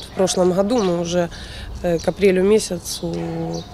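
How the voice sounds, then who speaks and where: A woman speaks over light background noise, the sound dry with no echo. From eastern Ukraine, Luhansk region. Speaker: youth taekwondo coach. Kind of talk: news interview. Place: street.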